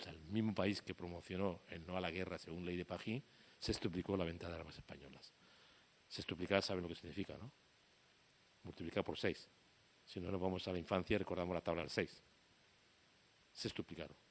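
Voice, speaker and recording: A man talks in an animated tone at a fairly quick pace, his pitch very deep and low. Long pauses come often. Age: 60s. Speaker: war photographer. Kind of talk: public talk. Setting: talk with live audience.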